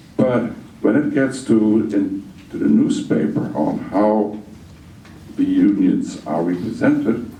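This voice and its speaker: Speaking very slowly with a Dutch accent, a man is heard with audible room echo and noticeable background noise. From Netherlands. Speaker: audience member. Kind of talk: question at a public meeting.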